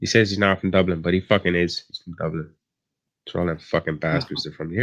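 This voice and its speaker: Delivered at a very fast pace in an Irish accent, the speech shows big swings in loudness. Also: man, very deep, low pitch for a man, fairly even intonation. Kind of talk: rough, sweary, ranting. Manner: heated, disparaging.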